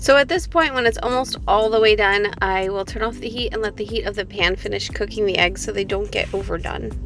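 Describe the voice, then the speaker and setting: A woman talking at a fairly quick pace with hardly any pauses, music playing in the background. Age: 20s. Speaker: homemaker and mother. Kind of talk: cooking tutorial voice-over.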